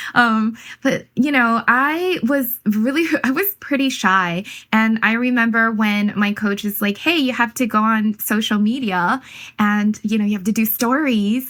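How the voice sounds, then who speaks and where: A woman at a fairly slow pace with ordinary pitch variation and very even loudness, in a very clean recording with a silent background. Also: fairly high pitch for a woman. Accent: Chinese. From Hawaii, born in Taiwan. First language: Mandarin Chinese. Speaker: manifestation coach. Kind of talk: interview. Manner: halting.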